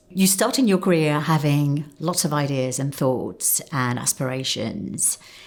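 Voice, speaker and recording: A woman's very deep, low voice at a fairly slow pace, with ordinary pitch variation and noticeable background noise. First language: not English. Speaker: marketing executive. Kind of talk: interview answers. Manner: conversational, with fillers.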